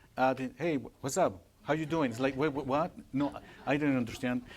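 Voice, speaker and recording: This man has a Spanish accent. His pitch varies in an ordinary way. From Mexico, Puebla. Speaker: Spanish teacher. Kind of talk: Q&A after a presentation. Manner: halting, with repeated words.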